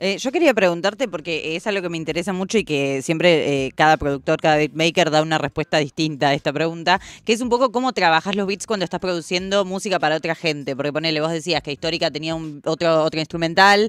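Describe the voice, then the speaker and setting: A speaker with a Rioplatense accent talks at a very fast pace. There are hardly any pauses. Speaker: radio co-host. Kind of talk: casual interview. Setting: radio studio.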